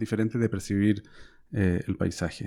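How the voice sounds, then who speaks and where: A man with a Chilean accent speaks at a moderate pace in a dark, mellow tone. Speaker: podcast host, historian and professor. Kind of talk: interview. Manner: halting, frequent fillers.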